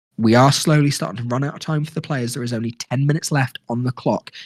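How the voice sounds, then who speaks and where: Somewhat breathy, a man talks at a medium pitch and a fairly quick pace with ordinary pitch variation. The sound is dry and close with no echo. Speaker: live gaming commentator. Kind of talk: live commentary. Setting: game store, live stream. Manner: lowered, quieter than usual.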